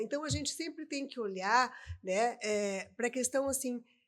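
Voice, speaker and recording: Speaking at a moderate pace, a woman uses a high pitch. Her intonation is lively. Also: very clean recording, silent background. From southern Brazil, Rio Grande do Sul. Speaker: adoption specialist. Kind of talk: podcast interview. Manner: hesitant, many repetitions.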